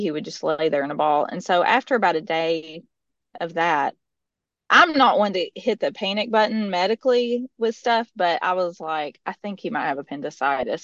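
A woman with a Middle Tennessee accent, medium pitch and lively intonation at a fairly quick pace, in a dry, close sound with no echo over a quiet background. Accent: Southern, Middle Tennessee. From US South. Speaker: mother sharing testimony. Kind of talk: testimony.

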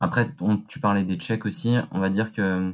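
A man talks at a moderate pace. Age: 20s. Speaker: business school student, audit intern. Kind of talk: interview. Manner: halting, many repetitions and fillers.

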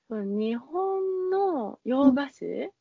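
A woman is talking. Her voice rises and falls across very wide pitch swings. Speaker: pastry chef. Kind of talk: casual interview chat. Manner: halting, many fillers.

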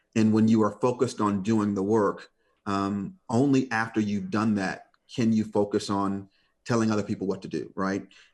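With an American accent, a man speaks at a moderate pace in a fairly low pitch, his intonation fairly even against a quiet background. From Detroit, US Midwest. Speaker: corporate communications executive. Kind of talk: interview conversation. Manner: hesitant, many fillers.

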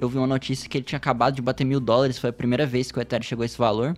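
A man's voice, fairly high in pitch. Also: very clean recording, silent background. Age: 20s. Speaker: software developer, crypto guest expert. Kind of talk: casual podcast interview. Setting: studio.

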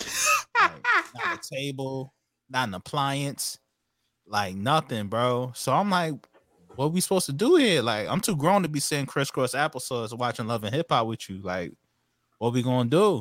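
Lively intonation and a moderate pace mark this voice with a New York accent on a very clean recording with a silent background. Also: man, medium pitch for a man. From Hempstead, New York. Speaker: podcast guest, online shop co-owner. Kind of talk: casual banter podcast chat.

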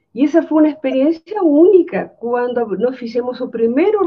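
A woman speaks with a Spanish accent and lively intonation. Her pace is fairly slow. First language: Spanish (speaking Portuguese). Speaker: architecture professor. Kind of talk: anecdote in webinar.

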